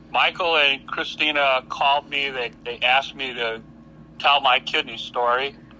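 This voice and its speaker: At a moderate pace, a man with a Midwestern American accent speaks in a fairly high, monotone voice with flat intonation. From US Midwest, Hammond, Indiana. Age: 60s. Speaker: kidney patient advocate. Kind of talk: podcast interview. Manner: halting, with repetitions.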